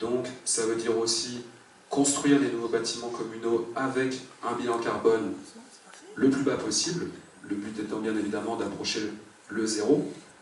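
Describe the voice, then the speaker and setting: Noticeable background noise and audible room echo surround a man speaking in a medium pitch. His intonation is fairly even, with long, frequent pauses. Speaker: municipal election candidate. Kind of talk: public speech. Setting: public meeting with audience. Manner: hesitant, many fillers.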